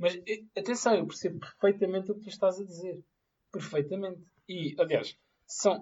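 At a moderate pace, a man with a high pitch holds fairly even intonation while his loudness swings widely. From Portugal, Amadora area. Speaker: podcast co-host. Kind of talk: casual chat.

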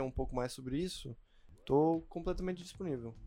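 A man with an unremarkable speaking voice talks at a fairly quick pace, fairly high in pitch, with lively intonation. The recording is very clean, with a silent background. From Chile and the Philippines. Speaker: pharmacy student. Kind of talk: casual chat.

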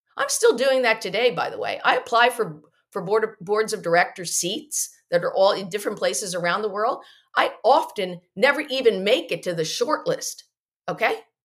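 A woman with an ordinary speaking voice talks at a moderate pace and fairly high pitch with lively intonation. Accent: American. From US Northeast, New Jersey. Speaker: economist, company founder. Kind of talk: interview. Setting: video call.

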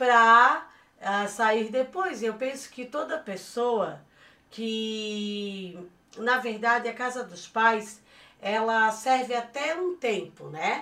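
In a very clean recording with a silent background, a woman with a fairly high pitch and a bright, sharp tone speaks at a very slow pace, with ordinary pitch variation and big swings in loudness. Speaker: podcast co-host, mother of the hosts. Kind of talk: casual chat.

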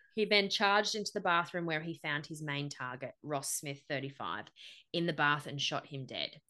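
A woman with an Australian accent and a very deep, low pitch speaks at a moderate pace in a serious, bright and sharp tone with ordinary pitch variation. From Central Coast, NSW, Australia. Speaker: podcast host. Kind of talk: true-crime narration of a massacre, mixed with casual banter. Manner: measured, serious storyteller, grim and matter-of-fact.

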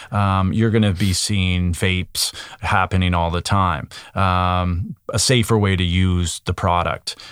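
Speaking in a Canadian Maritime accent, a man with a very deep, low pitch talks at a fairly slow pace with fairly even intonation and very even loudness, in a very clean recording over a silent background. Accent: Canadian Maritimes. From Nova Scotia, Canada. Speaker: cannabis industry consultant. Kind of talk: interview.

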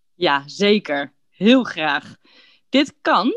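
The voice has a relaxed tone with vocal fry and very wide pitch swings. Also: woman. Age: 30s. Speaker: podcast host for Dutch learners. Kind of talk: scripted casual chat for language learners. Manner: clear, relaxed pace for learners.

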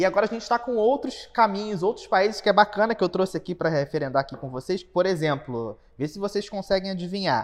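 Nothing much stirs in the quiet background. Words come at a fairly quick pace. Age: 30s. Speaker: podcast co-host, creative business partner. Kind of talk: casual chat.

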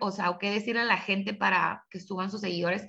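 A woman with a bright, sharp, medium-pitched voice speaks at a fairly quick pace with ordinary pitch variation. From Tijuana, Baja California, Mexico. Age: 30s. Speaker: lawyer and social media creator. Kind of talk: interview.

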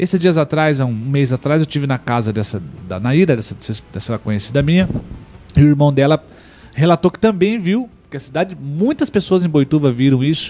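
A man's fairly high voice at a fairly quick pace. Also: lively intonation. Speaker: live TV show co-host. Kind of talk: casual chat. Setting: studio.

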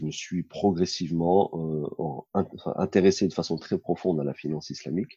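The man's voice has a dark, mellow tone. The sound is dry and close, with no echo. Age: 40s. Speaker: Islamic finance consultant. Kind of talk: interview. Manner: halting, many fillers.

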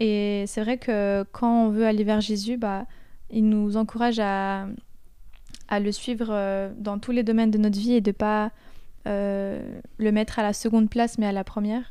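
Over a very clean recording with a silent background, a woman speaks slowly at a fairly high pitch, her dark, mellow tone held in monotone, flat intonation broken by long, frequent pauses. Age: 20s. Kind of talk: casual faith discussion.

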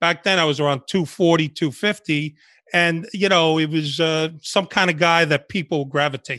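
Against a quiet background, a man with a New York accent speaks at a moderate pace and fairly high pitch, with a bright, sharp tone and fairly even intonation. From New York City (Washington Heights, Bronx), born in Cuba. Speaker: retired undercover FBI agent. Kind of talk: interview.

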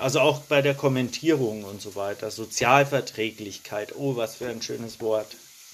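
A man is talking with ordinary pitch variation. Noticeable background noise sits behind him. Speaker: randomly selected citizen participant, climate activist. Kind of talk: online workshop discussion.

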